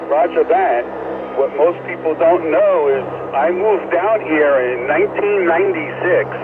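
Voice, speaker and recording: Noticeable background noise accompanies a man with an American accent who speaks high in pitch at a fairly slow pace, with very even loudness and ordinary pitch variation. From New York City, Staten Island. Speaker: amateur radio operator. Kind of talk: ham radio chat. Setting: radio transmission.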